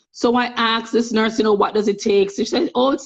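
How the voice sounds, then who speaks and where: This woman has a Jamaican accent and a fairly high pitch. She talks at a fairly quick pace with vocal fry. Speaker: nurse. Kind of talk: interview. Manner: animated.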